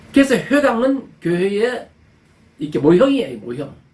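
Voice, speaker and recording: There is audible room echo around this man's voice. He speaks at a moderate pace with very wide pitch swings. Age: 70s. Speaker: pastor. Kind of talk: sermon. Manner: halting.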